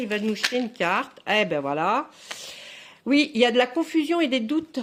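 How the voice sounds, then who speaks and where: At a fairly quick pace, a woman speaks in a high voice. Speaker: tarot card reader. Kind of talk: tarot reading video. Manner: halting, many fillers and repetitions.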